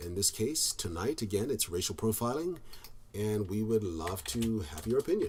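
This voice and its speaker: This man's voice is fairly low and somewhat breathy, with lively intonation. He talks at a moderate pace. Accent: American. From US South, Georgia. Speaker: podcast host. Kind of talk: casual chat. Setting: video call.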